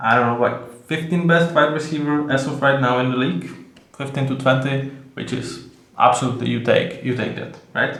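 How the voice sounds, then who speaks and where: In a Czech accent, a man with a fairly high pitch speaks with fairly even intonation amid audible room echo. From Czech Republic. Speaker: sports video host. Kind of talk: solo commentary video. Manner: halting, many fillers.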